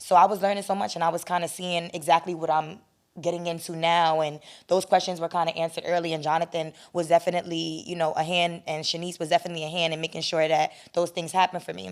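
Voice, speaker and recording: On a very clean recording with a silent background, a woman with a New York accent and a fairly low pitch talks very fast in a flat monotone. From New York, the Bronx. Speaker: producer and talent manager. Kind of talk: interview.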